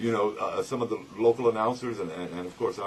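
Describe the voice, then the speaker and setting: Noticeable background noise sits behind a man speaking at a moderate pace, his fairly low voice lively in intonation. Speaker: radio announcer. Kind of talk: interview answer.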